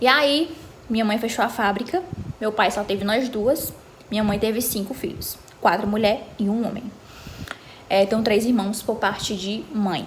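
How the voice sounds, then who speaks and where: Over noticeable background noise and audible room echo, a woman with a fairly high pitch and ordinary pitch variation talks at a moderate pace with long, frequent pauses. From Brazil, Ceará (Fortaleza area). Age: 20s. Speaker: vlogger. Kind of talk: casual chat.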